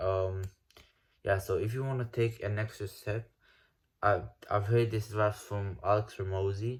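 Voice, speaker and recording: On a very clean recording with a silent background, a man with a non-native accent speaks in a somewhat breathy, fairly low voice at a moderate pace, his intonation monotone and flat, with long, frequent pauses. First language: not English. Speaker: self-improvement YouTuber. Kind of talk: casual vlog rant. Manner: halting, with repetitions and false starts; casual, slangy.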